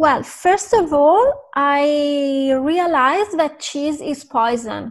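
Speech at a very slow pace with ordinary pitch variation plays over a quiet background. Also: woman, high pitch for a woman. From Italy. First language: Italian. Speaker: vegan influencer and food writer. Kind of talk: interview. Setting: video call.

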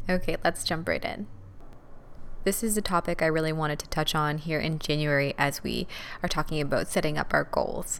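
Soft-spoken, a woman talks at a fairly quick pace in a very deep, low pitch, with fairly even intonation. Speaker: podcast host, dance teacher. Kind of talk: motivational solo talk.

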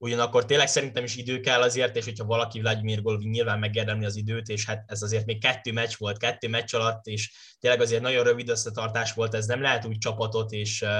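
Against a quiet background, a man rattles along at a very fast pace in a monotone, flat intonation. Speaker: podcast host. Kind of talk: casual sports discussion.

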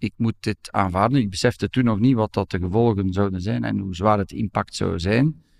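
A man speaks in an ordinary speaking voice, fairly low in pitch, at a moderate pace with ordinary pitch variation. The sound is dry and close with no echo, and the background is quiet. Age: 50s. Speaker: law professor and lawyer. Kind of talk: personal testimony interview.

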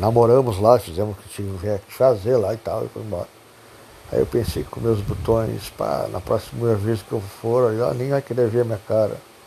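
Speaking at a fairly low pitch with ordinary pitch variation and a Rio Grande do Sul accent, a man's loudness swings widely over noticeable background noise. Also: moderate pace. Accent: Rio Grande do Sul Portuguese (gaúcho). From southern Brazil, Pelotas area. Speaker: podcaster telling life stories. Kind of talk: personal storytelling monologue. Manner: halting, many repetitions.

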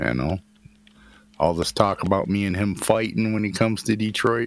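Speaking with an American accent, a man has a fairly low pitch and an animated tone. His pitch varies in an ordinary way, and he keeps a moderate pace. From US Midwest. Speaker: podcast co-host, former truck driver. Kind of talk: crude casual banter. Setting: online voice chat. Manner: profane, animated.

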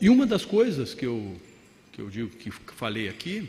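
A man speaks at a high pitch, his voice making very wide pitch swings. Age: 50s. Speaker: mayor. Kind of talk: conference talk. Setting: stage with audience.

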